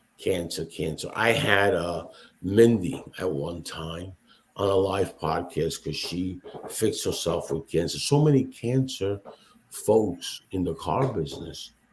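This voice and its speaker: Speaking at a very slow pace, a man with a fairly low, somewhat breathy voice uses lively intonation. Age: 60s. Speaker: podcast host, automotive industry veteran. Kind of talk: casual chat. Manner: animated.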